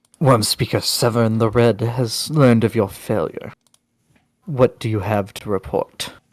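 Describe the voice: Using a put-on character voice, a man speaks at medium pitch and a moderate pace. The voice is raspy.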